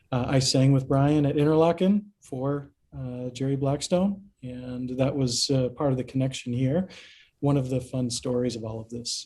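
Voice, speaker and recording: The man's tone is dark and mellow, somewhat breathy, at a medium pitch with ordinary pitch variation. He keeps a moderate pace. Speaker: business expert and singer. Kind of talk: casual interview chat. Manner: halting.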